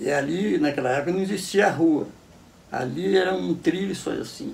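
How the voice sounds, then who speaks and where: There is audible room echo as a man speaks with a high pitch. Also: moderate pace. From Brazil, Cachoeira Paulista (São Paulo state). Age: 80s+. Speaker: elderly local resident interviewee. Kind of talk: interview, life story. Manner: halting, many repetitions.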